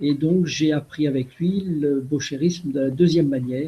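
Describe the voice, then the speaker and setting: In a dark, mellow tone, a man with a fairly high pitch speaks at a fairly slow pace with fairly even intonation. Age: 60s. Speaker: retired riding master. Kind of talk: web conference talk. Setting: video call.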